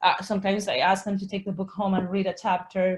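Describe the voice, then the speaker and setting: At a moderate pace, a woman with a Spanish accent speaks in a somewhat breathy voice at a medium pitch. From Colombia. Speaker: Spanish teacher and author. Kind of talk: webinar Q&A. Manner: halting, frequent self-corrections.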